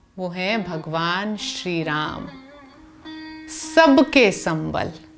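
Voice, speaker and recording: Music plays in the background as a woman speaks at a fairly low pitch with ordinary pitch variation. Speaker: dastango storyteller. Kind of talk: dastangoi storytelling narration. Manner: expressive, earnest storytelling.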